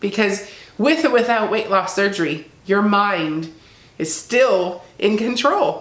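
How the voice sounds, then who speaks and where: A woman talks at a moderate pace. There is noticeable background noise. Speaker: keto weight loss vlogger. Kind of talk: casual talk to camera.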